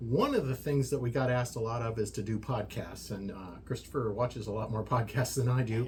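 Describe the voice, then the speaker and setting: With an American accent, a man talks at a fairly quick pace, somewhat breathy, with fairly even intonation and hardly any pauses. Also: medium pitch for a man. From US, army brat raised partly in Germany. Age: 60s. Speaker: social media creator, workshop owner. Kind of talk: casual podcast interview. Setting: workshop. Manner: hesitant, many fillers.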